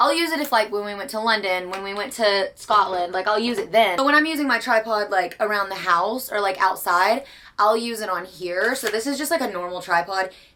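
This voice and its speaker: Loud and animated, a woman speaks at a fairly quick pace with hardly any pauses. Her tone is bright and sharp, her pitch fairly high, with ordinary pitch variation. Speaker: book vlogger. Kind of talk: casual chat.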